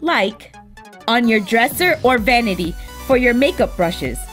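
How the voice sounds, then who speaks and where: Over music in the background, a woman with a high pitch speaks at a moderate pace. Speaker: craft YouTuber. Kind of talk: craft tutorial voice-over.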